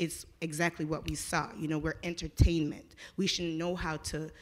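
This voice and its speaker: A woman speaks at a moderate pace in a fairly low pitch. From immigrant, grew up in US from childhood. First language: not English. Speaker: conference attendee. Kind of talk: audience comment at panel discussion. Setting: conference with audience.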